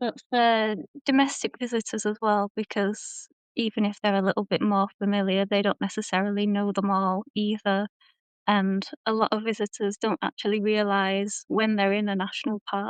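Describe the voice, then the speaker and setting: A British-accented woman at medium pitch speaks at a moderate pace in a monotone, flat intonation with very even loudness, the sound dry and close with no echo over a quiet background. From Britain. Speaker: tourism designer. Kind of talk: interview podcast. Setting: live stream.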